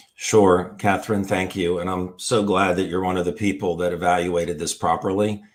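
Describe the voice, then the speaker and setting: Here a man's very deep, low voice holds a flat monotone at a moderate pace, with hardly any pauses. The recording is very clean and the background silent. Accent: American. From US, Washington DC area. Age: 60s. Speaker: former foot surgeon, health product promoter. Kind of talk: live interview.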